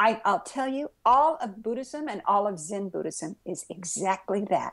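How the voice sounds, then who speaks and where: Speaking at a moderate pace, a woman has an unremarkable speaking voice with lively intonation. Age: 60s. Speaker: Zen Buddhist priest and author. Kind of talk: interview. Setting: podcast interview. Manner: conversational with frequent fillers.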